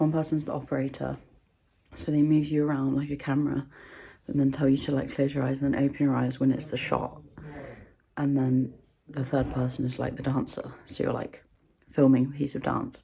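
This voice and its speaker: Speaking at a fairly quick pace broken by long, frequent pauses, a woman with a very deep, low pitch keeps a monotone, flat delivery in a dark, mellow tone. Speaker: vlogger. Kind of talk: casual vlog talk to camera. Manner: quiet, whispered.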